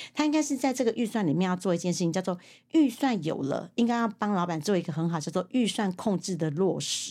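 Against a quiet background, a woman with a Taiwanese accent talks at a fairly quick pace in a medium pitch with a dark, mellow tone. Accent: Taiwanese Mandarin. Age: 50s. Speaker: secretarial association head and author. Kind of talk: interview.

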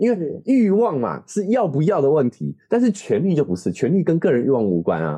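Speaking at a fairly quick pace with hardly any pauses, a man uses a dark, mellow tone at a fairly high pitch, his pitch swinging very widely. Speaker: parenting podcast co-host. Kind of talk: casual chat.

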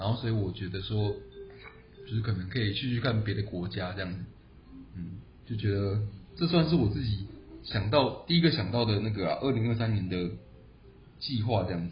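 A man with a fairly low pitch speaks at a fairly quick pace, with long, frequent pauses, ordinary pitch variation and audible room echo. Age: 20s. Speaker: podcast co-host, engineer. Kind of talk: casual chat.

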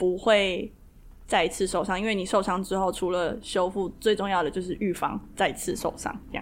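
At a moderate pace, an ordinary speaking voice keeps fairly even intonation. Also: woman. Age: 20s. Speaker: kundalini yoga teacher. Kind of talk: interview.

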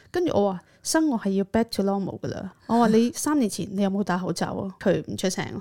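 Dark, mellow tone with lively intonation at a fairly quick pace, hardly any pauses, and a very clean recording with a silent background. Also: woman, medium pitch for a woman. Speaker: podcast co-host, counsellor. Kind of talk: casual chat.

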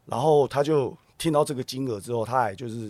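A plain, everyday voice from a man at medium pitch, fairly quick in pace with ordinary pitch variation, on a very clean recording with a silent background. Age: 40s. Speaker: TV drama actor. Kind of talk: casual interview chat.

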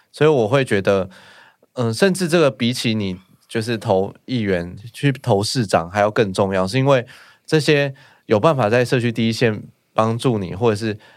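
A man with an unremarkable speaking voice and medium pitch talks at a moderate pace with ordinary pitch variation, on a very clean recording with a silent background. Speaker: village chief. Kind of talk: casual chat.

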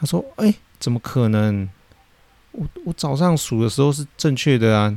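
This man has a dark, mellow tone at a medium pitch, with lively intonation at a moderate pace. The sound is dry and close, with no echo. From Taiwan. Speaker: podcast host, fish farmer. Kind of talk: casual monologue, storytelling. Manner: hesitant, many fillers.

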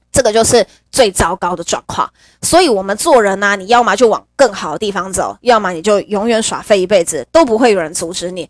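Speaking at a fairly quick pace, a woman with a medium pitch sounds animated, her intonation lively and her loudness swinging widely, all in a dry, close sound with no echo. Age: 30s. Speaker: podcast host. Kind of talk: casual monologue. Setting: home.

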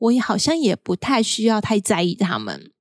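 Fairly slow, lively speech in a Taiwanese accent, with a dry, close sound and no echo. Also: woman. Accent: Taiwanese Mandarin. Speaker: podcast host. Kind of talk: solo podcast monologue.

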